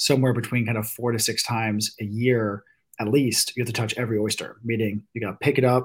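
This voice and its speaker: Over a very clean recording with a silent background, a man at medium pitch talks at a fairly quick pace, somewhat breathy and with monotone, flat intonation. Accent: American. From Virginia Beach, Virginia. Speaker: venture capitalist and oyster farm co-owner. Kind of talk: casual chat.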